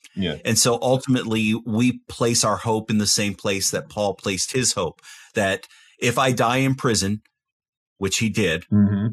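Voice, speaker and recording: At a moderate pace and with ordinary pitch variation, the speaker takes long, frequent pauses against a quiet background. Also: man. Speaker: university professor; podcast guest or host discussing scripture. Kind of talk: Bible study discussion. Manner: humorous. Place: home room. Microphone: studio mic.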